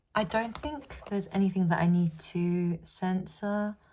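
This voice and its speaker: A woman mumbles at a very slow pace with fairly even intonation. The recording is very clean and the background silent. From UK. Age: 20s. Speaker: journaling YouTuber. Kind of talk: casual chat. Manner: mumbling.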